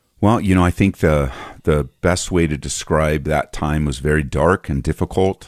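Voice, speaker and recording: A man with an American accent speaks at a moderate pace in a very deep, low pitch with vocal fry and ordinary pitch variation. The sound is dry and close, with no echo. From Southern California. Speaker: pastor and author. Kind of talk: interview about personal grief and faith.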